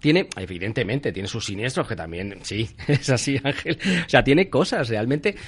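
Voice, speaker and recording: A somewhat breathy voice at a moderate pace, with very wide pitch swings. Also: man, medium pitch for a man. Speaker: insurance professional. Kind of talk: radio interview.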